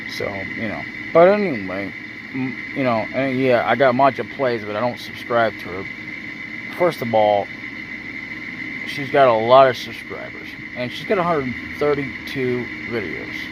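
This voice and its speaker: With noticeable background noise and audible room echo, a man at medium pitch talks at a moderate pace with lively intonation, big swings in loudness, and long, frequent pauses. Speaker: YouTuber. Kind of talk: casual vlog monologue. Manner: halting, stuttering.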